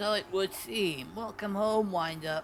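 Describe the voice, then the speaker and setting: Over clear background noise, a man puts on a gravelly, high-pitched character voice and speaks at a fairly slow pace. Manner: formal, stately greeting.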